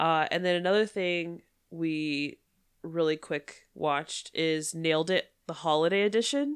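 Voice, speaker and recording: A woman speaks in an ordinary speaking voice at a fairly low pitch. Her pace is fairly slow, her pitch variation ordinary, and the background is quiet. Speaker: podcast co-host. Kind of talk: casual chat.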